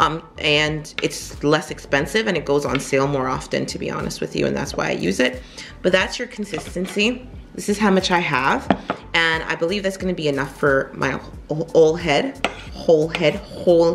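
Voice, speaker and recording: Music plays in the background as a woman speaks with a very deep, low pitch. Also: ordinary pitch variation, moderate pace. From Jamaica. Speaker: beauty vlogger. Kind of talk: tutorial. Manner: casual, conversational.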